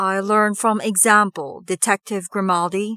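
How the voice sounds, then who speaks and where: At a moderate pace, a put-on character voice delivers monotone, flat intonation in a dry, close sound with no echo. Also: woman, medium pitch for a woman. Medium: read story. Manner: smooth, cordial, never raises voice.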